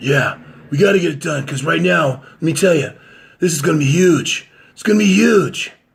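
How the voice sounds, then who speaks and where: A man performs a put-on character voice, raspy and fairly high-pitched. He keeps a moderate pace with big swings in loudness. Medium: solo performance.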